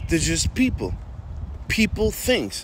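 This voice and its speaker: Recorded dry with no echo, a man speaks over light background noise. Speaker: faith content creator. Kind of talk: casual motivational faith talk. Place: street. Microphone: phone near.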